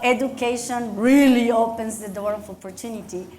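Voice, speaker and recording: Fairly slow speech with a Mexican accent and audible room echo. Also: woman. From Mexico. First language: Spanish. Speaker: county commissioner and dentist. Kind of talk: speech at luncheon, onstage interview. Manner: animated.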